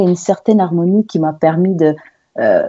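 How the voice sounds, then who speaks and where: A woman's dark, mellow voice at medium pitch with a Portuguese accent, fairly quick and fairly even in intonation, in a dry, close sound with no echo. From Angola, then Lisbon, Portugal. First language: Portuguese (speaking French). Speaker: singer and actress. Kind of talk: interview. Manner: halting, many fillers and repetitions.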